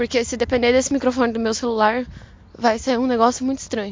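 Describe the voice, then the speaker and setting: Talking at a very fast pace, a woman with a high pitch keeps her intonation fairly even. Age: young. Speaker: podcaster. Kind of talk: audio diary. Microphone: phone mic.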